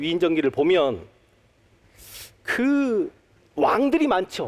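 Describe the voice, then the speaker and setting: A high-pitched man's voice with very wide pitch swings. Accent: Jeolla. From Honam (Jeolla region), Korea. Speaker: history lecturer. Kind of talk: public lecture. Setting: stage with audience at a talk concert.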